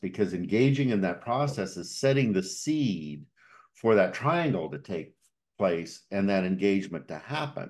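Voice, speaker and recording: A man speaks with a normal speaking voice, fairly low in pitch, using lively intonation at a fairly slow pace over a quiet background. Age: 60s. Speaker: podcast host and coach. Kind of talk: podcast interview conversation.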